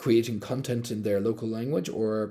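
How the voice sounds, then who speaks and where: A man's dark, mellow tone with an Irish accent. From Ireland. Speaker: crypto company executive. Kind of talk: live-stream AMA.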